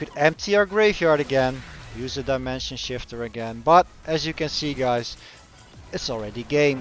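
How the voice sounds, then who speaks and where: A man with a Dutch accent at a moderate pace, ordinary pitch variation, and noticeable background noise. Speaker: gaming YouTuber. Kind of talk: gameplay commentary. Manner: halting.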